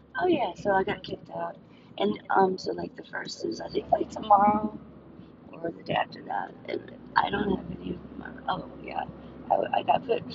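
A woman with an American accent at a moderate pace, with long, frequent pauses, big swings in loudness and noticeable background noise. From US South, South Louisiana. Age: 40s. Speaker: podcaster, food delivery driver. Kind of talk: casual monologue while driving. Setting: in a car, on the road. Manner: halting, many fillers.

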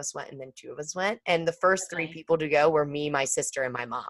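Fairly low in pitch, a woman talks at a fairly quick pace. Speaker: podcast co-host. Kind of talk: casual chat. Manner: animated.

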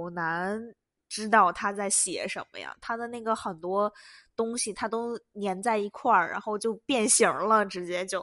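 A woman speaks fairly slowly at medium pitch, animated, with a bright, sharp tone and big swings in loudness. The sound is dry and close with no echo, and the background is quiet. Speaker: international student podcaster. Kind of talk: casual monologue.

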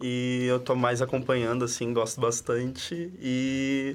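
Medium pitch from a man, with noticeable background noise. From São Paulo city, Brazil. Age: 20s. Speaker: university student, roundtable panelist. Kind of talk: casual roundtable chat. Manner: hesitant, repeats words.

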